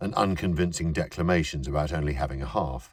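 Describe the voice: The recording is very clean with a silent background, and the pitch varies in an ordinary way. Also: man.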